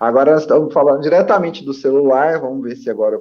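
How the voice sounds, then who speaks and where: Talking at a very fast pace, a man uses lively intonation. His pitch is fairly high. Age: 30s. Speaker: spiritist commentator. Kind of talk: religious study discussion.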